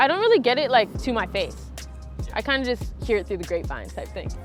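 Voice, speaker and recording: Over noticeable background noise, a woman with a Canadian accent talks at a very fast pace. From Canada, London, Ontario. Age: 20s. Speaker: skateboarder. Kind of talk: interview answers. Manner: casual, filler-heavy.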